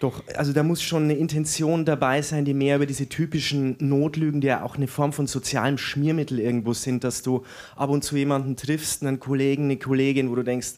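A man talks at a fairly quick pace with very even loudness and a monotone, flat intonation. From Franconia, Germany (Erlangen), raised in Weiden, Upper Palatinate. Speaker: novelist, writing teacher. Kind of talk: interview at live reading.

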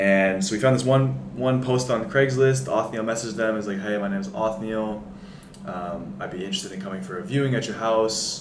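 Amid noticeable background noise and audible room echo, a man with an American accent speaks fairly quickly at a medium pitch with lively intonation. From US Pacific Northwest, Seattle. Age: 20s. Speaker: college basketball player. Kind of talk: casual interview.

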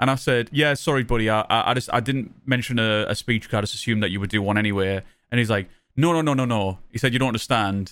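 On a very clean recording with a silent background, a man with a Sunderland accent speaks at medium pitch with ordinary pitch variation. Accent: Mackem (Sunderland) northern English. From Sunderland, northern England. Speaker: podcast host and full-time Twitch streamer. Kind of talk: casual chat. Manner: informal, rambling, joking.

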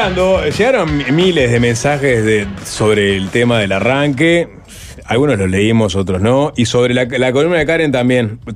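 Music plays in the background as a man talks at a fairly slow pace with lively intonation. His loudness stays very even throughout. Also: medium pitch for a man. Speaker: radio host. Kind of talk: casual chat. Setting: studio.

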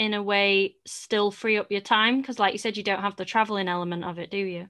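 A woman with a British accent speaks at a moderate pace, her pitch fairly high and her tone bright and sharp. The recording is very clean, with a silent background. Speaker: podcast host, dance business owner. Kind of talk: solo monologue; casual chat.

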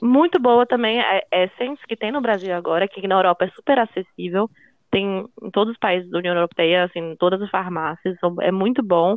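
Speaking in an ordinary speaking voice, a woman talks at a fairly quick pace with a medium pitch and ordinary pitch variation. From Brazil. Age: 20s. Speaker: law student and makeup influencer. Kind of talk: casual chat.

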